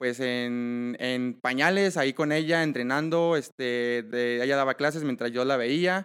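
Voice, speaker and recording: An ordinary speaking voice from a man, fairly high in pitch, with ordinary pitch variation at a fairly slow pace, in a very clean recording with a silent background. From Mexico, Michoacán. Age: 20s. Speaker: triathlete. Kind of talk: interview.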